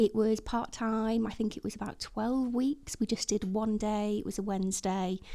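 A woman with a northwest English accent, fairly high in pitch, in a dark, mellow tone with monotone, flat intonation and hardly any pauses. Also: moderate pace. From Chester, northwest England. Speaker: front-end developer. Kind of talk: casual chat. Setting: studio.

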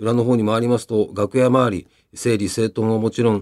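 A man's ordinary speaking voice at medium pitch and moderate pace, dry and close with no echo, on a very clean recording with a silent background. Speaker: radio personality. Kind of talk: radio program narration. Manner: relaxed conversational.

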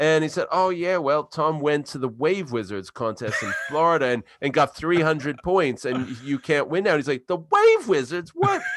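Noticeable background noise sits under this recording. A man speaks with an American accent in a fairly high pitch. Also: ordinary pitch variation, moderate pace. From US East Coast. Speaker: podcast host. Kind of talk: casual podcast chat. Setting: London, now lives there.

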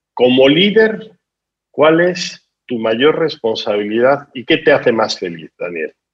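A man's fairly high voice with a Spanish accent, very wide pitch swings and a very slow pace. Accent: Spanish (Spain). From Spain. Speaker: business school dean and podcast host. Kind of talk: interview. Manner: hesitant, with fillers.

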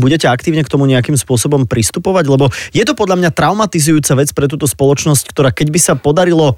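A man speaks at a very fast pace. His fairly high voice carries lively intonation. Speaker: radio host. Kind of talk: radio interview. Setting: studio.

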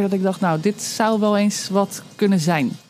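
With music in the background, a woman speaks at a medium pitch. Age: 30s. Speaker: storyteller and mother sharing birth story. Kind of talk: personal testimony interview. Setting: outdoors under a veranda.

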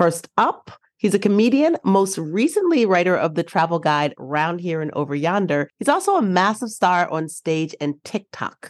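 In an unremarkable speaking voice, a woman talks at a moderate pace with a fairly low pitch and lively intonation. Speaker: podcast co-host. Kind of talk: casual chat.

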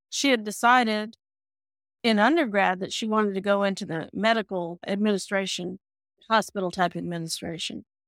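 An ordinary speaking voice from a woman with an American accent, fairly high-pitched, at a fairly quick pace with ordinary pitch variation, dry and close with no echo on a very clean recording with a silent background. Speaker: parent of a heart patient. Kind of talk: casual chat.

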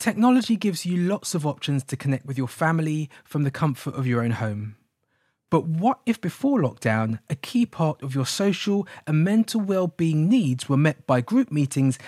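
With a British accent, a man talks at a moderate pace in a fairly high, somewhat breathy voice with very wide pitch swings, recorded dry and close with no echo on a very clean track with a silent background. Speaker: podcast producer and presenter. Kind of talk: scripted narration.

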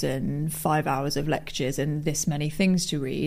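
Dark and mellow in tone, a woman's very deep, low voice holds a fairly even intonation. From English West Midlands, rural Worcestershire. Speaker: radio station editor. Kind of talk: interview.

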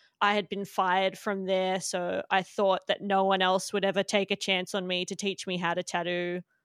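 With an Australian accent, a woman talks at a moderate pace and medium pitch, recorded very cleanly against a silent background with a dry, close sound and no echo. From Australia, Melbourne. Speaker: tattoo artist. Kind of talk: casual interview.

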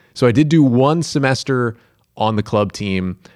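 A man with a normal speaking voice at a medium pitch talks with lively intonation in a very clean recording with a silent background. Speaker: sports broadcaster. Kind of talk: casual interview chat.

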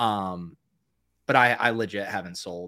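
A man with an American accent has a bright, sharp tone. The recording is very clean, with a silent background. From Boston area. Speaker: podcast co-host. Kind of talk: casual podcast chat.

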